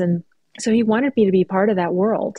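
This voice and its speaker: A woman's dark, mellow tone in a Californian accent, monotone and flat in intonation, with a dry, close sound, no echo, and a quiet background. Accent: General American, California. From Southern California, Mexican-American. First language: Spanish. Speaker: writer. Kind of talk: interview conversation.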